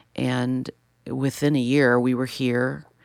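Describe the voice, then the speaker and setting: A woman's very deep, low voice in an American accent at a fairly slow pace, on a very clean recording with a silent background. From US Midwest, Chicago. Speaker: educator and worship leader. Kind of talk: interview conversation. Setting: studio.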